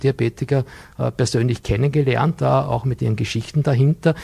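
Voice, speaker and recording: A man's dark, mellow tone at medium pitch, with vocal fry. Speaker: business consultant and nutrition coach. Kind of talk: TV studio interview. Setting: TV studio.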